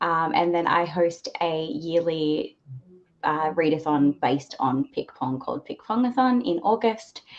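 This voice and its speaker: Her pitch swings very widely. The woman has a fairly low pitch and speaks at a fairly slow pace. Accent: Australian. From Australia. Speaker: book reviewer and book club co-host. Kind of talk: live book discussion.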